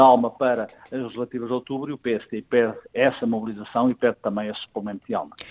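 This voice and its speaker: This man has a normal speaking voice, medium in pitch, and talks at a fairly quick pace. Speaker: political commentator. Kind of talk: political analysis interview.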